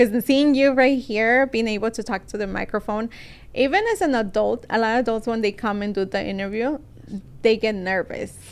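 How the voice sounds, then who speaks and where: Speaking at a moderate pace, a woman keeps her fairly high voice in fairly even intonation. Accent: Spanish. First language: Spanish. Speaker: podcast host. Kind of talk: interview. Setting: studio.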